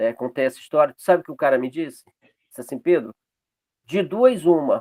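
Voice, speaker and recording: A man's fairly high pitch in a dry, close sound with no echo. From Pará, northern Brazil. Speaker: açaí business owner. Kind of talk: online networking meeting talk.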